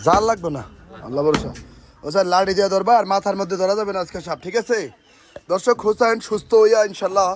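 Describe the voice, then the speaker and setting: A man with a Comilla accent, high-pitched, with ordinary pitch variation. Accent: Comilla regional Bengali. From Bangladesh, Comilla. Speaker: snake rescue video presenter. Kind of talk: on-location vlog narration and safety advice. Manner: animated.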